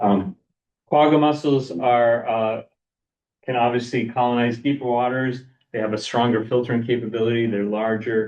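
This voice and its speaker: A medium-pitched male voice at a moderate pace with fairly even intonation. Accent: slight Boston. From Boston area, US. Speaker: lake scientist presenter. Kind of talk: lecture. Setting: seminar room, also streamed online. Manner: halting, many fillers and repeats.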